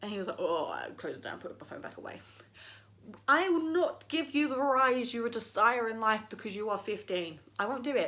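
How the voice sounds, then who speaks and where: Her tone is animated and her pitch high, moving in very wide swings. This woman talks at a fairly quick pace with big swings in loudness. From East London, England. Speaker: YouTuber. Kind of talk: opinion rant vlog.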